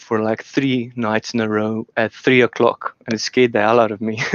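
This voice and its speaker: A man with a non-native accent, medium in pitch, flat and monotone, at a moderate pace with hardly any pauses. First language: not English. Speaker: debate guest, industrial engineer. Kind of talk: casual discussion. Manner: halting, many fillers.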